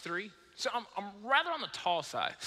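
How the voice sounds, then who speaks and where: A man speaks in a raised, projected voice. Noticeable background noise can be heard. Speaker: preacher. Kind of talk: sermon. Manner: animated.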